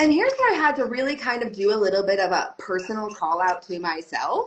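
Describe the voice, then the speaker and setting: A woman talks very fast and loudly, her fairly high voice making very wide swings in pitch. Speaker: belly dance teacher. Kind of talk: podcast interview.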